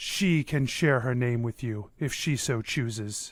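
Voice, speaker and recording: Putting on a character voice, a man talks at a fairly slow pace with a medium pitch and ordinary pitch variation. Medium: actual play. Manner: formal, solemn.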